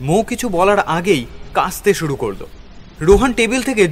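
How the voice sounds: This is a natural reading voice. Its intonation is lively.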